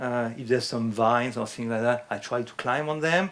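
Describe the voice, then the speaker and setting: A man with a French accent. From France. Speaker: fitness instructor. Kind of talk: lecture. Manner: halting.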